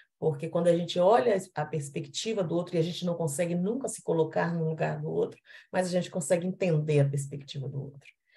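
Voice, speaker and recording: A woman's fairly low, dark and mellow voice with a Minas Gerais accent, somewhat breathy, at a fairly quick pace with ordinary pitch variation. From Minas Gerais, Brazil. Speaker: panelist. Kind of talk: panel discussion.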